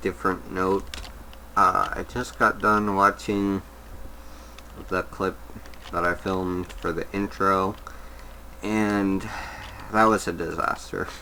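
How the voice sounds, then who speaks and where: The speaker mumbles at a very slow pace. Background noise is noticeable. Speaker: gaming video creator. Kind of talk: gameplay commentary. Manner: mumbling; halting.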